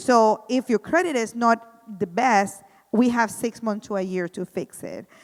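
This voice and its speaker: With a strong Spanish accent, a woman speaks at a fairly slow pace and fairly high pitch, using ordinary pitch variation in a dry, close sound with no echo. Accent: thick Spanish. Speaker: housing program coordinator. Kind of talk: community presentation.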